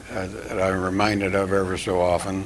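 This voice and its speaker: With a US Midwestern accent, a man speaks at a moderate pace in a very deep, low voice against noticeable background noise. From eastern Iowa, US Midwest. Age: 80s+. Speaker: TV host. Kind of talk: interview. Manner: halting.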